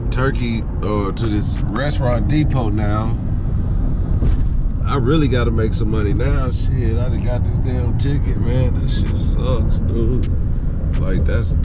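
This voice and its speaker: The pace is fairly slow, with long, frequent pauses. Music plays in the background. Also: man. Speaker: vlogger. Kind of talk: casual vlog chat. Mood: frustrated but upbeat. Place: car. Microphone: phone near.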